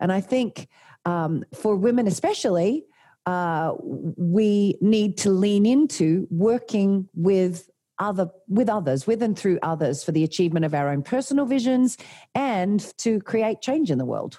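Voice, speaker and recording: A woman with an Australian accent, dark and mellow in tone with lively intonation, on a very clean recording with a silent background. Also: medium pitch for a woman, fairly slow pace. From Australia, Tasmania. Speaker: leadership coach and former doctor. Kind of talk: interview.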